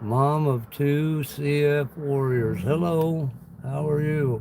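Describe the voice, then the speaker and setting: A man with an American accent talks very slowly at a fairly high pitch with ordinary pitch variation and audible room echo. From US Midwest, Illinois. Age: 60s. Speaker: livestreamer and gig worker. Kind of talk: casual live-stream chat.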